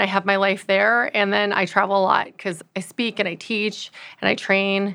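A woman with an American accent and a bright, sharp tone, on a very clean recording with a silent background. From US West Coast, Los Angeles. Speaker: surgeon. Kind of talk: interview. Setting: studio.

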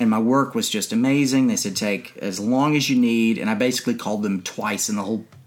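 A man at medium pitch and moderate pace, with lively intonation over noticeable background noise. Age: 40s. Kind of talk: casual chat.

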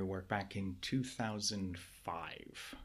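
The speaker has an American accent and fairly even intonation. Room echo is audible. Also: man. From Michigan, then Texas from high school. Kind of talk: casual interview. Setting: small room studio.

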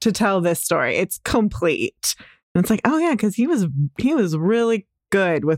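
With an American accent, a woman talks at a moderate pace and medium pitch, her pitch swinging very widely and her voice showing vocal fry, on a very clean recording with a silent background and a dry, close sound with no echo. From Texas, Dallas. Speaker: podcast guest. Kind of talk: casual chat.

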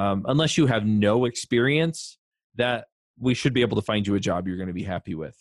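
An ordinary speaking voice from a man, fairly low in pitch and fairly quick, with lively intonation and a dry, close sound with no echo. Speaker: podcast host. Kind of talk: casual interview.

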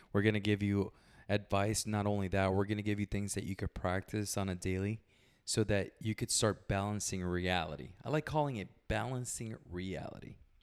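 At a moderate pace, a man with a Puerto Rican accent speaks at a fairly low pitch with ordinary pitch variation on a very clean recording with a silent background. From Puerto Rico. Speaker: podcast co-host. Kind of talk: casual chat.

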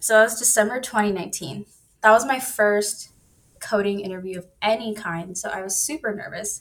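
With an American accent, a woman uses a normal speaking voice at medium pitch and a moderate pace, with ordinary pitch variation and big swings in loudness. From Texas. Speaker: online coding student. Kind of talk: casual interview.

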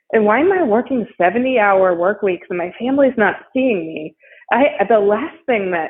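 With an American accent and an unremarkable speaking voice, the speaker moves at a fairly slow pace with lively intonation. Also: woman. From US Midwest, Ohio. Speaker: marketing agency founder. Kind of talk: interview.

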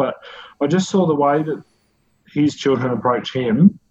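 A man with an Australian accent at a moderate pace, with ordinary pitch variation. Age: 30s. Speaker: community organisation director and father. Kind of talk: interview, personal storytelling.

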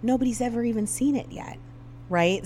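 A woman with vocal fry speaks at a fairly quick pace, her tone animated and her intonation lively. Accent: Chicago. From Northwest Indiana. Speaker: business owner. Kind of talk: interview conversation. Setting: studio in her float center building.

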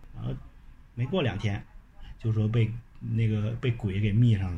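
Audible room echo surrounds a man speaking at a moderate pace with a Tangshan accent, a fairly low pitch and fairly even intonation. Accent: Tangshan dialect of his hometown. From rural Hebei, Tangshan area. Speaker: painter. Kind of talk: casual interview chat. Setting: at his home.

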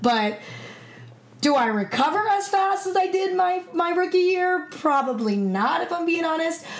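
Against noticeable background noise and audible room echo, a woman speaks at an extremely high pitch with very wide pitch swings. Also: moderate pace. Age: 30s. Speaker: women's football quarterback. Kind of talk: casual chat. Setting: at her home.

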